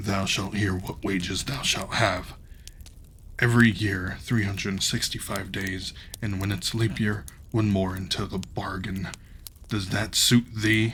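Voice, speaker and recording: A booming, put-on character voice at a moderate pace, with background noise clearly present. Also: man, fairly low pitch for a man. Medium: read story. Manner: archaic thee-and-thou speech.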